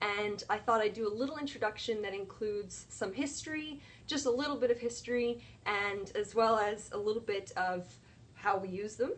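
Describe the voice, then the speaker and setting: This woman's voice is fairly high-pitched, with ordinary variation in pitch. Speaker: science educator livestreamer. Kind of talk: live science lesson. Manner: fast.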